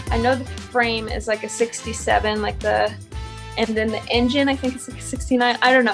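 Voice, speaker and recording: Faint music plays in the background as the voice moves at a moderate pace. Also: woman. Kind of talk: interview answer. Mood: relaxed, laughing. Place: garage. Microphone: phone near.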